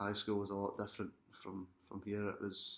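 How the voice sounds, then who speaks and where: In a Glaswegian accent, a man with a fairly low pitch speaks at a moderate pace in a monotone, flat intonation. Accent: Glaswegian Scottish. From Scotland, Glasgow. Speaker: international student athlete. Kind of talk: interview testimony.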